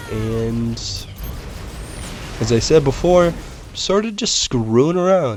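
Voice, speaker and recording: Music plays in the background as a man speaks very slowly, with audible room echo. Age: 20s. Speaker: gaming video host and writer. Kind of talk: let's play commentary. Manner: casual, with filler words.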